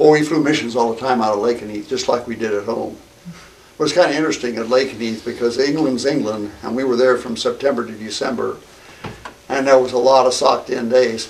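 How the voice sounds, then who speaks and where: Fairly quick speech from a man at medium pitch with fairly even intonation, over noticeable background noise. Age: 80s+. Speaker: war veteran. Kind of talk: interview. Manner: halting.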